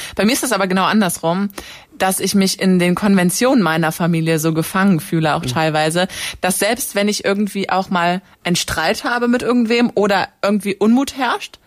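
A woman talks at a fairly quick pace in a normal speaking voice. Her pitch sits in the medium range for a woman. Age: 20s. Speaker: university student and campus radio editor. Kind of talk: casual chat.

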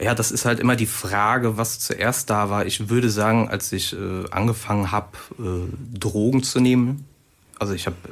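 A man's plain, everyday voice, fairly low in pitch, with fairly even intonation at a moderate pace. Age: 30s. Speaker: author and drummer. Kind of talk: radio interview.

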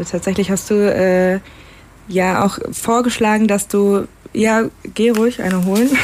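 Noticeable background noise runs under a woman's medium-pitched voice. She takes long, frequent pauses. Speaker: student radio host. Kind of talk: interview.

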